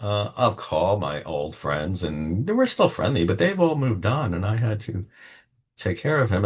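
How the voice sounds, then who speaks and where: Against a quiet background, a somewhat breathy man talks at a moderate pace with lively intonation. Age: 70s. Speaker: tarot reader. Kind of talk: personal monologue to camera. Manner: casual, unscripted.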